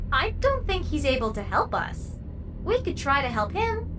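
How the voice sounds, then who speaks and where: Over loud background noise, a female-sounding put-on character voice speaks at a moderate pace. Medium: video game. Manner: gentle, hesitant.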